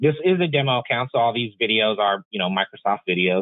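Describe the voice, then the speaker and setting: This is a man speaking. He goes at a fairly quick pace. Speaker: IT engineer, software expert. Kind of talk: tech tutorial demo. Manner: casual, many filler sounds; fast.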